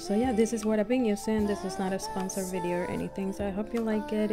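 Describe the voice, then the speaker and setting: A woman with a non-native accent speaks while music plays in the background. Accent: non-native English pronunciation. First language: non-native English speaker. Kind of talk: casual talk to camera. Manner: hesitant, many fillers.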